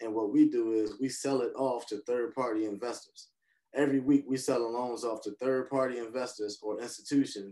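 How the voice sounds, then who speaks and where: A man speaks at a moderate pace in a monotone, flat delivery, his tone dark and mellow over a quiet background. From North Philadelphia; Philadelphia. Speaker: hard money lender and real estate investor; podcast guest. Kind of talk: interview. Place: home room. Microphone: video call.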